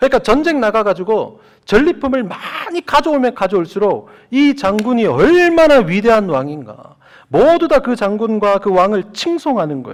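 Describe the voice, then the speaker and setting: This man's voice is high. Its pitch swings across a very wide range. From Gyeongsang region, South Korea. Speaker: pastor. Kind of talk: sermon. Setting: church.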